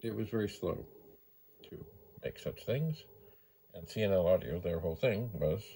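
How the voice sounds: At a moderate pace, a man speaks with lively intonation in a dark, mellow tone that carries a slightly husky edge.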